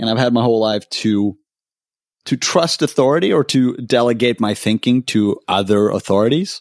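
In a Swedish accent, a voice speaks at a moderate pace with ordinary pitch variation and very even loudness, captured in a very clean, dry, close recording with a silent background and no echo. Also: man. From Sweden. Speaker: podcaster. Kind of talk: casual chat.

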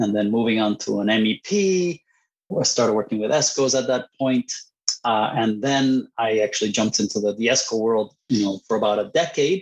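A man in a Spanish accent, medium in pitch, with ordinary pitch variation and very even loudness. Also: moderate pace. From Puerto Rico and Costa Rica. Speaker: engineer, university program director. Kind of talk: interview. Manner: halting, many fillers and repeats.

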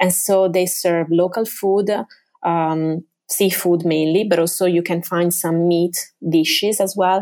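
The speaker has an Italian accent and fairly even intonation. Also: woman. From Venice area, Italy. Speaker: tour guide. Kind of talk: interview.

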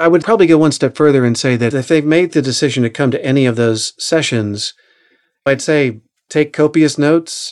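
A man with an American accent and a normal speaking voice talks fairly quickly at a fairly high pitch, with ordinary pitch variation and a quiet background. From Oklahoma. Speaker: audiobook narrator and acting coach. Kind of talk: interview.

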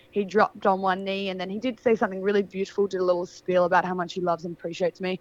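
A woman speaks very fast in an Australian accent, her pitch medium. The sound is dry and close, with no echo. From Australia, Adelaide Hills. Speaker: model. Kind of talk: casual chat.

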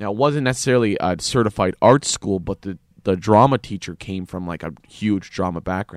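A man with a Canadian accent speaks at a moderate pace in an ordinary speaking voice, his fairly low pitch showing ordinary variation and big swings in loudness, on a very clean recording with a silent background and a dry, close sound with no echo. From Canada. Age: 20s. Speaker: actor and comedian. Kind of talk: casual interview.

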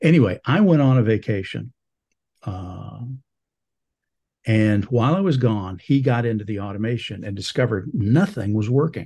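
Against a quiet background, a man with a medium-pitched, dark, mellow, somewhat breathy voice talks at a moderate pace, using lively intonation and long, frequent pauses. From northern Alabama. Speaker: retired software engineer. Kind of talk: interview.

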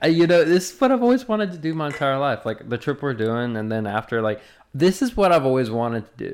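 In a Southern US accent, a man talks at a very fast pace with a fairly high pitch and very wide pitch swings, captured in a very clean recording with a silent background. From US South. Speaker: podcast host. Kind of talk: casual chat.

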